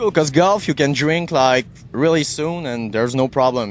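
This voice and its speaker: Lively intonation marks this man's speech, delivered at a moderate pace. He has a French-Canadian accent. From Quebec. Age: 30s. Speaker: radio host. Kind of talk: interview.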